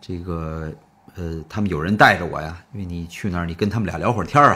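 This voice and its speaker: Speaking with a Beijing accent, a man has a very deep, low pitch and a bright, sharp tone, and he keeps a moderate pace. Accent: Beijing Mandarin. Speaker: storyteller. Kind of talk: traditional storytelling performance. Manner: animated.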